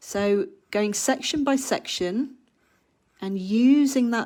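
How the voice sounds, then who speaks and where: A woman speaks with an English accent and ordinary pitch variation. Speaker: art teacher. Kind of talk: live online workshop tutorial. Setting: livestream.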